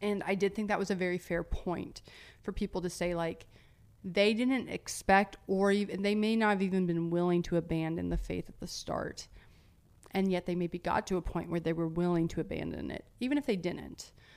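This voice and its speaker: Using a normal speaking voice, a woman talks at a medium pitch and a moderate pace with fairly even intonation, on a very clean recording with a silent background. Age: 30s. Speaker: podcast host. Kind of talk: casual Q&A monologue. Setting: Instagram live video. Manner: casual, with frequent laughs and fillers.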